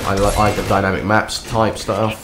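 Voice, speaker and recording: A man is talking. Noticeable background noise can be heard behind him. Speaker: video game commentator. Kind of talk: casual gameplay commentary.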